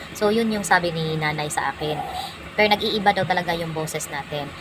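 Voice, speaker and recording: This woman talks while noticeable background noise can be heard. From Visayas/Mindanao (Bisaya speaker). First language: Cebuano (Bisaya) (speaking Tagalog). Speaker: vlogger. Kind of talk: casual vlog storytelling. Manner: halting, many fillers.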